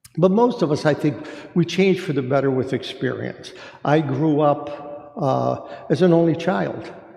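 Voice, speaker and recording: A man talks at a fairly slow pace with ordinary pitch variation. Noticeable background noise can be heard. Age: 70s. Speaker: church discussion group leader. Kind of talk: faith discussion talk. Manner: halting, many fillers.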